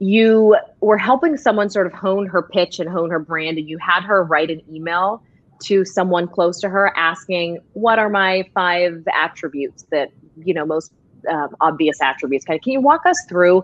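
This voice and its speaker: Speaking at a moderate pace, the woman has a normal speaking voice with ordinary pitch variation. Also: fairly low pitch for a woman. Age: 30s. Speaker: talk show and podcast host, former TV news journalist. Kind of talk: interview. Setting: live show with headphones.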